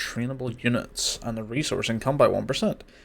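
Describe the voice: Ordinary pitch variation in plain reading aloud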